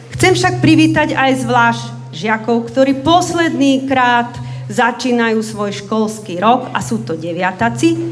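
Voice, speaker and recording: Over faint music in the background, a woman speaks at a fairly slow pace. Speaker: school principal or teacher. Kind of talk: welcome speech. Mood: warm, formal welcome. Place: hall. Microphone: camera far.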